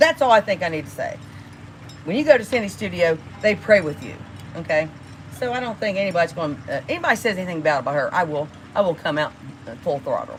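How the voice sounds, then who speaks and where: Over noticeable background noise, a woman speaks in an animated tone with very wide pitch swings. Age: 60s. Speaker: livestreamer. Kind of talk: casual livestream rant. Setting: live stream.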